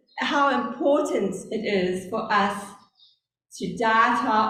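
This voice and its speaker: A woman's fairly high voice with a South African accent, very slow pace and audible room echo. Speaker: lay preacher. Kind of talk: sermon. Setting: church service. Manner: deliberately slow.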